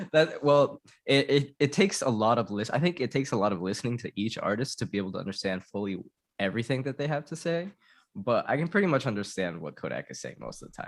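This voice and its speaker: In a very clean recording with a silent background, a man of medium pitch talks at a very fast pace, with big swings in loudness and very wide pitch swings. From Tijuana, Mexico, raised in San Diego. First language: Spanish. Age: 30s. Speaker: musician. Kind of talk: casual chat. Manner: halting.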